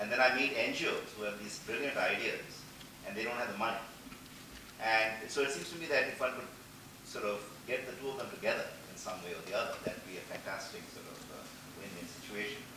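Over noticeable background noise and audible room echo, a man talks at a fairly quick pace with big swings in loudness and long, frequent pauses. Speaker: audience member. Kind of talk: audience comment. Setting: conference stage with audience. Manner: soft-spoken. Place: hall.

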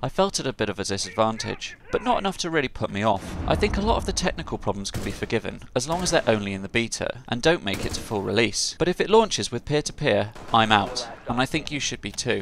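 A man talks at a very fast pace with very wide pitch swings, over noticeable background noise. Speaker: gaming YouTuber. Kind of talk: game review narration.

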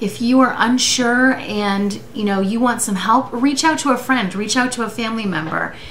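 A woman talks at a moderate pace with ordinary pitch variation over light background noise. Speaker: vlogger. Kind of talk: casual vlog chat. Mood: serious, earnest, personal. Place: home room. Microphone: webcam.

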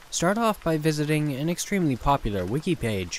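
Very wide pitch swings in a man's fairly high voice, delivered at a moderate tempo. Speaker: horror story narrator. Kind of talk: scripted narration.

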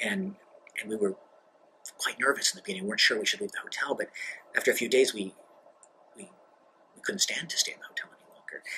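A man with an American accent talks very fast, with light background noise. His pauses are long and frequent. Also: big swings in loudness. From grew up abroad in a US diplomatic family. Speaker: diplomat. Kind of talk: interview monologue. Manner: halting, many fillers. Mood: relaxed, reflective, light humor. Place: office.

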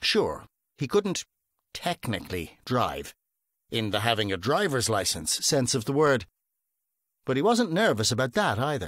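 At a moderate pace with long, frequent pauses, a man speaks in an animated, playful tone with a medium pitch, very wide pitch swings and vocal fry, in a dry, close sound with no echo on a very clean recording with a silent background. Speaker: audiobook narrator. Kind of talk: audiobook reading of a comic crime novel, told in third person with a light, wry tone.

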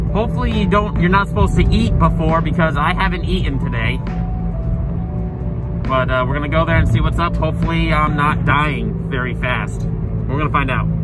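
Over background music, a man talks at a fairly quick pace with a dry sound and no echo. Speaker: vlogger. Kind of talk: casual vlog chat. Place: car. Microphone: phone near.

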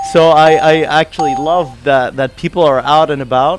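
A man speaks over clear background music. The sound is dry, with no echo. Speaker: guest. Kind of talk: interview answer. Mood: friendly, upbeat. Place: studio. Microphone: studio mic.

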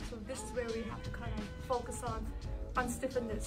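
Over clear background music, a woman speaks at a moderate pace. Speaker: physical therapist. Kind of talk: demonstration to class while cueing a client. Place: gym. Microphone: camera far.

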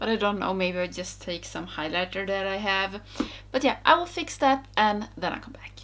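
A woman's bright, sharp tone with very wide pitch swings at a moderate pace. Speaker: beauty vlogger. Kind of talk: casual vlog chat. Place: home room. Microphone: phone near.

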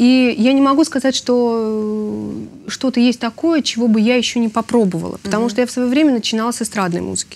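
This woman talks very fast with a fairly high pitch and ordinary pitch variation. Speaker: opera singer. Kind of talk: interview.

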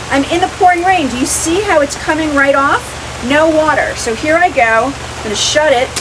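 An extremely high-pitched woman's voice, upbeat and animated in tone, with noticeable background noise. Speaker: swag seller and vlogger. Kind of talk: product pitch demo. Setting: outdoors in the rain. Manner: upbeat, animated, enthusiastic. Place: rain.

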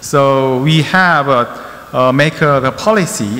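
The man's pitch sits in the middle range and moves in an ordinary way. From South Korea. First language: Korean (speaking Vietnamese). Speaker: company infrastructure department head, presenter; presenter. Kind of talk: conference presentation. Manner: halting, many fillers. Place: hall. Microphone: podium.

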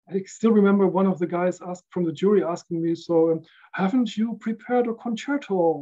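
Over a quiet background, a man talks at a fairly quick pace in a high voice with ordinary pitch variation. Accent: German. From Netherlands (Rotterdam area, The Hague); Netherlands. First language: German. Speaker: recording engineer; podcast guest. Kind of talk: casual chat. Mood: relaxed, reflective. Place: home room.

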